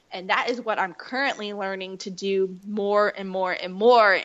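A woman speaks at a medium pitch. Her pace is moderate and her intonation fairly even. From US South, North Carolina. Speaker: faith blogger and author. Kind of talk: casual interview.

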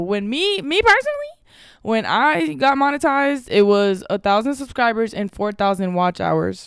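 Animated in tone, a woman talks at a moderate pace. Her intonation is lively. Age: 20s. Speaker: podcast host and content creator. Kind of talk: casual monologue.

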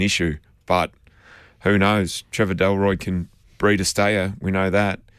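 With an Australian accent, a man talks in a very deep, low pitch and a monotone, flat intonation. The sound is dry and close with no echo. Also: very clean recording, silent background. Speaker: racing analyst. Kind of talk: radio panel discussion.

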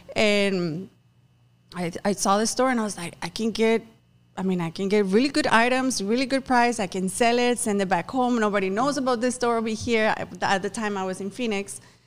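A woman with a Spanish accent, fairly high in pitch, at a fairly quick pace. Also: ordinary pitch variation. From Mexico, Tamaulipas. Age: 30s. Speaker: business owner. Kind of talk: casual interview.

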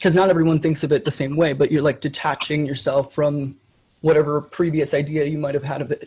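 Somewhat breathy, a man speaks at a fairly high pitch and a moderate pace with fairly even intonation. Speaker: online adult content creator. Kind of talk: casual chat.

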